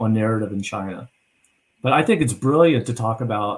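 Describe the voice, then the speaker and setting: A man talks at a fairly quick pace in a medium pitch. His voice is somewhat breathy, with ordinary pitch variation. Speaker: narrative and influence strategist. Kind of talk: video call planning discussion. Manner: fast.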